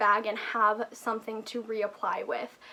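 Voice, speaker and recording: Noticeable background noise runs under a woman whose voice is high in pitch. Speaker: beauty YouTuber. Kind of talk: product review vlog. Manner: casual, chatty.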